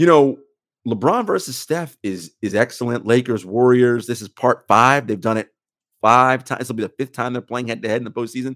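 Dry and close with no echo, a man with an unremarkable speaking voice talks at a fairly quick pace, his medium pitch showing ordinary pitch variation. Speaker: sports podcast host. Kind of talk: casual sports banter.

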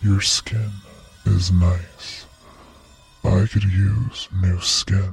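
A man whispers in a put-on character voice. He goes at a very slow pace with long, frequent pauses. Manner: chilling whisper, menacing.

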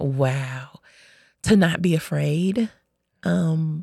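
In a very clean recording with a silent background, a woman with an American accent speaks at a very deep, low pitch in a dark, mellow, somewhat breathy tone. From Chicago, US Midwest. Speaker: hospital and hospice chaplain. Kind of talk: interview about life story. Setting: studio. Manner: many filler ums, halting.

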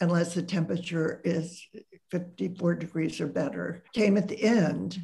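With an American accent, a woman speaks in a fairly low, somewhat breathy voice with ordinary pitch variation. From US Midwest, Columbus Ohio. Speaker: sociologist and author. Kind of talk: interview.

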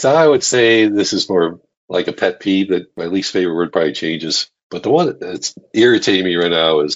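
Lively in intonation, a man with a fairly low pitch speaks at a moderate pace. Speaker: podcast guest.

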